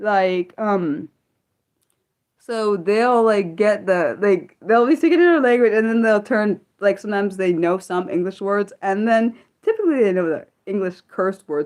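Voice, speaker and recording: Speaking at a fairly slow pace, a woman with an American accent uses lively intonation at a medium pitch. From United States. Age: 30s. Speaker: livestreamer. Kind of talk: casual chat. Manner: halting.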